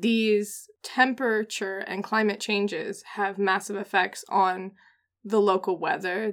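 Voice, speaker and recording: With an American accent, a woman speaks at a fairly slow pace in a monotone, flat intonation. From US Pacific Northwest. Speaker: podcast co-host. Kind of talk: casual chat.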